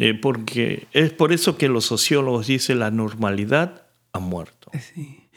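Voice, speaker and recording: At a fairly slow pace, a man speaks in a normal speaking voice at medium pitch. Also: lively intonation. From Argentina. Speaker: pastor.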